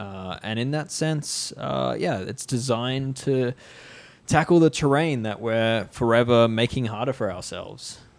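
Here is a man with an ordinary speaking voice and medium pitch. He talks at a fairly slow pace with ordinary pitch variation. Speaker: cycling podcast host. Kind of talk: casual banter, tech discussion.

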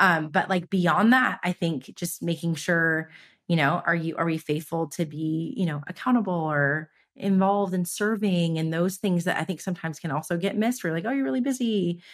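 On a very clean recording with a silent background, a woman with a fairly low pitch and a Californian accent talks at a moderate pace with ordinary pitch variation. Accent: Californian American English. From US West Coast, Los Angeles. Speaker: business founder. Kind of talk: casual interview chat. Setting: in-person recording.

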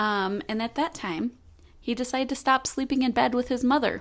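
A woman speaks at a moderate pace with ordinary pitch variation. The recording is very clean, with a silent background. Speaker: true crime podcast co-host. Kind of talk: casual storytelling.

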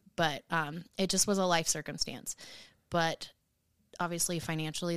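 Speaking at a moderate pace, a woman with a fairly low pitch and fairly even intonation has a plain, everyday voice. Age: 30s. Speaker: hairstylist and podcast co-host. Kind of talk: casual chat.

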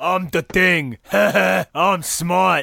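A man uses a put-on character voice with a high pitch. The recording is very clean, with a silent background.

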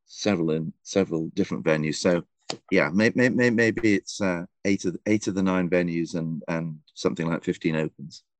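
A speaker with an English accent talks at a fairly quick pace, with ordinary pitch variation and a dry, close sound with no echo. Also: man, very deep, low pitch for a man. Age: 60s. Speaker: golf writer and columnist. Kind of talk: casual interview chat. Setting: remote call from a golf club back room.

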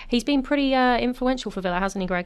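A woman with a British accent talks with fairly even intonation. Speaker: podcast host. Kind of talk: casual chat.

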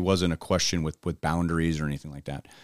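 Over a very clean recording with a silent background, a man with an American accent talks at a very fast pace. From US West Coast, Los Angeles. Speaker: baseball broadcaster. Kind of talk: casual chat.

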